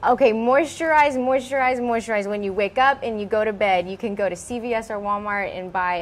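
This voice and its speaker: With an American accent, a woman speaks at a moderate pace using ordinary pitch variation. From Houston, Texas. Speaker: beauty pageant winner and fashion designer; guest. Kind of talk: interview. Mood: warm, upbeat, smiling. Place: workshop.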